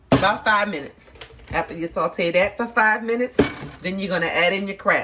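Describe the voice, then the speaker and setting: With an American accent, a woman speaks at a fairly quick pace in a medium pitch with ordinary pitch variation, against noticeable background noise. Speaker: cooking channel host. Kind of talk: cooking tutorial. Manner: casual, conversational.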